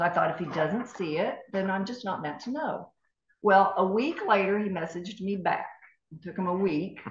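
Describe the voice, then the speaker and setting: Female voice at a medium pitch and a moderate pace, ordinary pitch variation, big swings in loudness, and audible room echo. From East Tennessee. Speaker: former TV news anchor. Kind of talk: interview storytelling.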